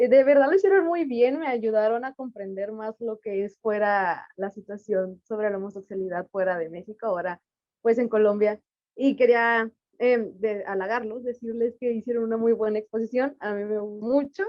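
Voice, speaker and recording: Woman at a fairly high pitch, ordinary pitch variation, moderate pace. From Mexico. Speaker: audience participant. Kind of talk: Q&A comment.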